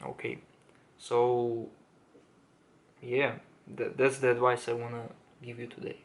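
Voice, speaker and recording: A man with a non-native accent speaks at a medium pitch and moderate pace in a monotone, flat intonation, with long, frequent pauses and big swings in loudness. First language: not English. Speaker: self-improvement YouTuber. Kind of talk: casual monologue to camera. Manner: halting, many fillers and restarts.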